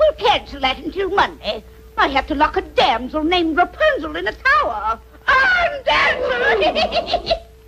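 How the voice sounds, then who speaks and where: Over clear background noise, a cartoonish character voice talks at a moderate pace with extremely high pitch. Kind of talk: comic cartoon voice acting. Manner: cackling, wisecracking.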